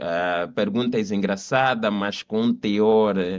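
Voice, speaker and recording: Against a quiet background, a man with an Angolan accent talks very slowly in a fairly low voice. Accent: Angolan Portuguese accent, still noticeable. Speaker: lawyer. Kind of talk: podcast interview.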